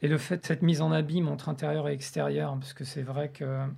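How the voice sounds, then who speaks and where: A man speaks at a very fast pace. His voice is dark, mellow and somewhat breathy. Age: 40s. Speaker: sculptor and visual artist. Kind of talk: interview conversation about art. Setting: indoor recording at the academy premises. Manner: some hesitations and repeated words.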